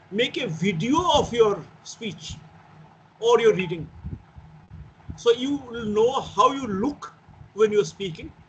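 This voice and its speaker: Moving through very wide pitch swings, a man speaks at a fairly slow pace with an extremely high pitch. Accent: Bengali. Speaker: teacher. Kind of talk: lecture.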